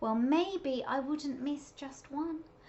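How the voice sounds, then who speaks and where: A woman speaks in a put-on character voice at a high pitch, with clear background noise behind her. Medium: read story.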